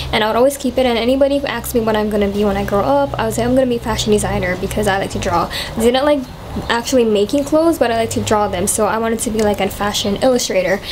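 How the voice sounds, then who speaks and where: Very fast speech from a woman, fairly high in pitch, with ordinary pitch variation amid noticeable background noise. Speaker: vlogger, college student. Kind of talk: casual chat. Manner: casual, many fillers.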